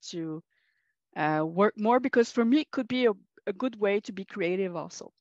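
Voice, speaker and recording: Quick-paced and fairly high, this woman's voice comes with a Quebec accent and ordinary pitch variation. The sound is dry and close with no echo, over a quiet background. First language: French. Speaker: college teacher, workshop participant. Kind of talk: workshop group discussion. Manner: halting, many hesitations and self-corrections.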